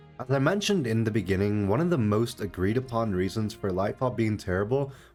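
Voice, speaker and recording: Over background music, a man talks at a fairly quick pace, his fairly low voice carrying lively intonation. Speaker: gaming YouTuber. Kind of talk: gaming commentary narration.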